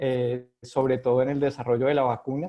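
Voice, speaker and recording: A man speaks in a Colombian accent with a monotone, flat intonation. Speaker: epidemiologist, physician. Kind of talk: interview. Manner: halting, many fillers.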